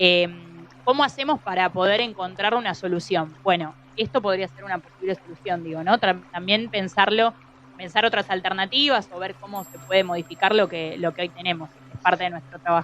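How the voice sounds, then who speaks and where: Noticeable background noise behind a woman at medium pitch, with ordinary pitch variation and big swings in loudness. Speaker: scientist. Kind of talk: interview. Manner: halting.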